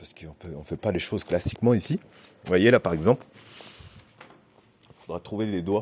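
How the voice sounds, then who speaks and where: Fairly low in pitch, a man speaks at a fairly quick pace with ordinary pitch variation and long, frequent pauses, the sound dry and close with no echo. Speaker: youth worker / vlogger. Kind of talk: casual vlog. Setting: indoor swimming pool building. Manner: hesitant, many fillers.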